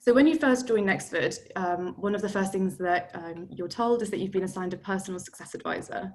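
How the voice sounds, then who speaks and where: Speaking at a fairly quick pace with hardly any pauses, a woman talks with a London accent. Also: medium pitch for a woman, ordinary pitch variation. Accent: London accent, noticeable. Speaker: product manager, tour guide. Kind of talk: webinar product demo. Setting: video call webinar. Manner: casual, many filler ums.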